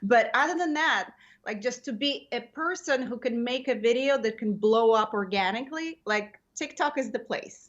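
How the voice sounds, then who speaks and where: This woman talks at a moderate pace with a non-native accent. Her pitch is high for a woman, with ordinary variation. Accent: foreign. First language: not English. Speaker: comedian. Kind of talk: casual interview chat. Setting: podcast.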